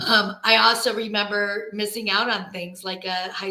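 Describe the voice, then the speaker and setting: Fairly slow, flat, monotone delivery in an American accent. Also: woman. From grew up outside the US. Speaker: travel advisor. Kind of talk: panel discussion.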